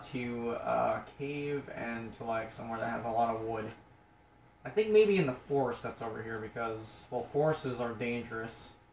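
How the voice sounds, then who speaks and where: Over light background noise, a man speaks with audible room echo. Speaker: gamer. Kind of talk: casual gameplay commentary. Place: home room. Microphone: phone near.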